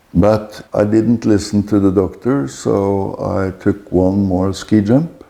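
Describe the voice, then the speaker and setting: Speaking at a very slow pace with hardly any pauses, a man with a Norwegian accent has a dark, mellow tone. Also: ordinary pitch variation. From Norway. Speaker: author. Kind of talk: interview answer.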